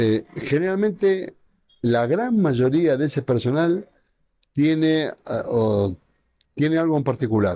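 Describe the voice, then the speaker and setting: Very slow speech from a man, fairly high in pitch with a dark, mellow tone, very wide pitch swings and long, frequent pauses. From Argentina. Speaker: restaurant owner. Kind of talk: interview.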